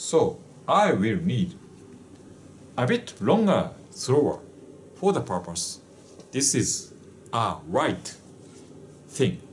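A man talks very slowly, with long, frequent pauses and very wide pitch swings. Light background noise sits underneath. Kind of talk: casual product demonstration. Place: office. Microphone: camera far.

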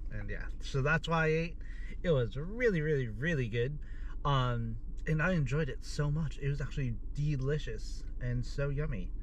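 A man keeps a moderate pace over light background noise, in a dry sound with no echo. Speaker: food vlogger. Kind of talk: casual vlog chat. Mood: happy, enthusiastic. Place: car. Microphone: phone near.

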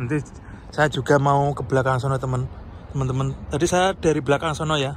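There is light background noise as a man talks at a fairly quick pace with fairly even intonation. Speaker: vlogger. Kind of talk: casual vlog narration. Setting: outdoors. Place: street. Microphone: phone near.

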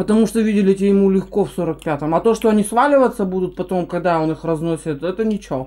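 A woman speaks very fast, her tone dark and mellow, with ordinary pitch variation. The background is quiet. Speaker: food vlogger. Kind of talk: casual mukbang chat. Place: kitchen. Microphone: camera far.

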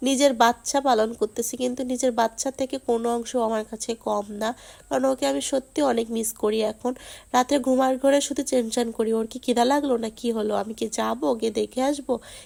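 Her intonation fairly even, a woman speaks in a high voice. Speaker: vlogger. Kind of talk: casual vlog talk to viewers.

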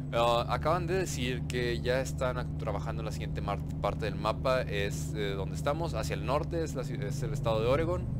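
At a moderate pace, a man with a very deep, low voice swings his pitch very widely amid audible room echo. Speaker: gaming YouTuber. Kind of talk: gameplay commentary. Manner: casual, hesitant with fillers.

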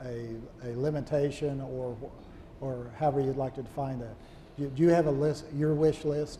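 A man's normal speaking voice, fairly high-pitched, at a fairly slow pace with ordinary pitch variation and light background noise. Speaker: retired aviation journalist and interviewer. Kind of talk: onstage interview. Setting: stage with audience. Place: hall. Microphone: lapel.

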